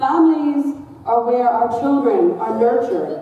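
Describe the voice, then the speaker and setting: A loud, high-pitched woman's voice with an American accent at a moderate pace, plus audible room echo and noticeable background noise. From United States. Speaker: director of a relief charity, community speaker. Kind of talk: lecture.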